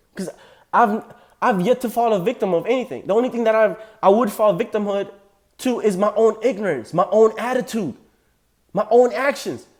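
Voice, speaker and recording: A man with a slight African accent speaks in a high pitch and an animated tone, with ordinary pitch variation, on a very clean recording with a silent background. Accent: slight African accent, on a few words. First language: non-English African language. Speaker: political commentator reacting to clips. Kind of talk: reaction commentary.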